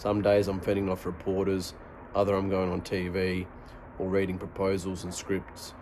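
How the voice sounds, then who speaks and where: With an Australian accent, a man speaks at a moderate pace. His fairly low voice has monotone, flat intonation. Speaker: product reviewer and audiobook-style reader. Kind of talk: book reading in first person.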